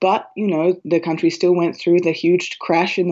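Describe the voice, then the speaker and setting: A woman talks in an Australian accent with monotone, flat intonation. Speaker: writer and librettist. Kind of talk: interview. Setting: phone call.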